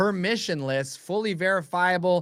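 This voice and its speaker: Animated and enthusiastic, a man with a high, bright, sharp voice and lively intonation speaks at a moderate pace on a very clean recording with a silent background. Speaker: Bitcoin podcaster and educator. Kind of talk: casual podcast conversation. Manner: animated, enthusiastic.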